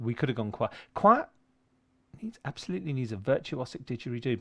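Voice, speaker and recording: Animated and lively in its intonation, this voice carries a southern English accent on a very clean recording with a silent background. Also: man. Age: 60s. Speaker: composer. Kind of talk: casual chat. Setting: livestream from a home studio shed.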